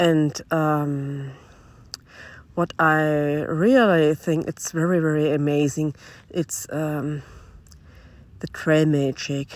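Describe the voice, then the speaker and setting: A woman with a German accent speaks at a very slow pace, leaving long, frequent pauses. Her pitch is very deep and low, and her intonation stays fairly even. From Germany. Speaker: long-distance hiker. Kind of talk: self-recorded audio diary. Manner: halting.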